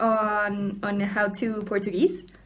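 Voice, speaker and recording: A woman speaks at a very slow pace. Her pitch sits fairly high. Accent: Spanish. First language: Spanish. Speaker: book vlogger. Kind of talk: casual vlog. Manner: halting, repeats words.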